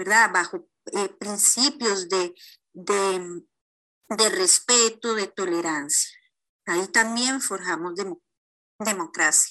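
Very slow speech in a bright, sharp tone, with long, frequent pauses, is heard against a quiet background. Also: woman, medium pitch for a woman, ordinary pitch variation. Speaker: lawyer. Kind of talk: recorded expert comment.

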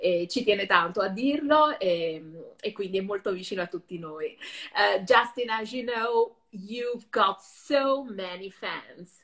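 A woman with an Italian accent, medium pitch, lively intonation and a fairly slow pace. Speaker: web show host and interpreter. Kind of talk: interview.

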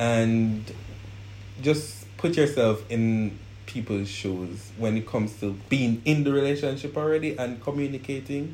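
This man talks fairly slowly at a medium pitch, somewhat breathy, with ordinary pitch variation. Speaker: guest in a couple interview. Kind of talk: casual interview chat.

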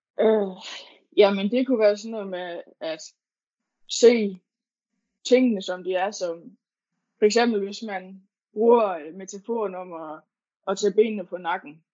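A woman with a medium pitch and ordinary pitch variation speaks at a fairly slow pace, with long, frequent pauses and big swings in loudness. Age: 20s. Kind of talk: interview. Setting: online call. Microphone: poor sound quality.

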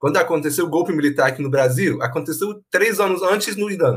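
Fairly quick, lively-intoned speech from a man. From Iran. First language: Persian (speaking Portuguese). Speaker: university professor. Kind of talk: casual chat.

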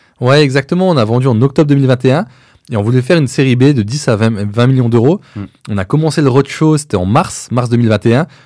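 This man has an ordinary speaking voice at a medium pitch, with ordinary pitch variation and a fairly quick pace. The recording is very clean and the background silent. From eastern France. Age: 30s. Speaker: entrepreneur. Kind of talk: interview.

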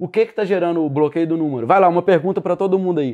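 The man's voice is high in pitch. It carries ordinary pitch variation. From Minas Gerais, Brazil (Sete Lagoas). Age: 20s. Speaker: digital marketing entrepreneur. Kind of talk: casual podcast interview.

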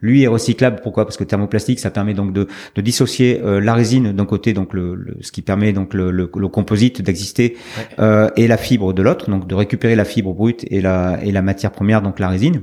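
A man's fairly low-pitched voice in a dark, mellow tone, fairly quick in pace and fairly even in intonation. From France, Médoc (Gironde). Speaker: skipper and business owner. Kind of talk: interview. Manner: halting, many hesitations.

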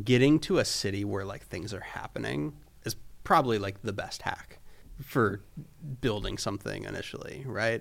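A man with an American accent speaks at a fairly low pitch and a moderate pace. His intonation is lively, and vocal fry comes through. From Florida. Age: 20s. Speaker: photographer and creative director. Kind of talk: casual chat.

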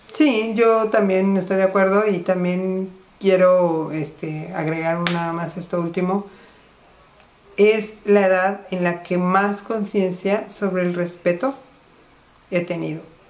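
At a very slow pace, a woman talks with fairly even intonation at a medium pitch over noticeable background noise. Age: 50s. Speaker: podcast co-host. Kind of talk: casual chat.

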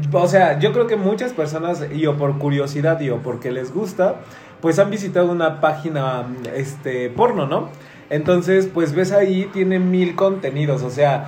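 A man with a Mexican accent talks at a fairly slow pace, fairly high-pitched, with ordinary pitch variation. Music plays in the background, and the room echo is audible. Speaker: podcast host. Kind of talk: casual chat.

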